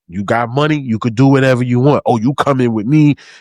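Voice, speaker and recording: With a New York accent, a man speaks in an animated tone and lively intonation, his sound dry and close with no echo against a quiet background. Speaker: podcast co-host. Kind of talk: casual book review chat.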